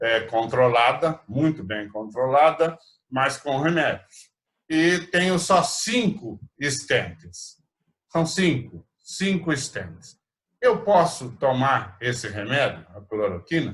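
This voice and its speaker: At a very slow pace, a man talks with vocal fry and a fairly high pitch that swings very widely. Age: 60s. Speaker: rotary club president. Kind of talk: virtual meeting chat. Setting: video call.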